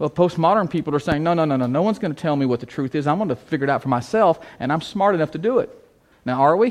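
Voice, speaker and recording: A man with an American accent at a very fast pace, fairly high in pitch, with lively intonation over a quiet background. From US Midwest, big city. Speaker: church planting trainer. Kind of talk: conference talk.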